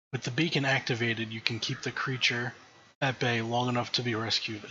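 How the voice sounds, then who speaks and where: A man puts on a character voice that is raspy, at a medium pitch. He talks fairly quickly in a flat, monotone way. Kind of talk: horror narration. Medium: game stream.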